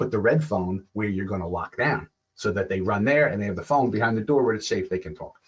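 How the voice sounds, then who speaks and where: A man talks very fast in a somewhat breathy voice, his pitch varying in an ordinary way. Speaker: security expert. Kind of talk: lecture. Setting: webinar.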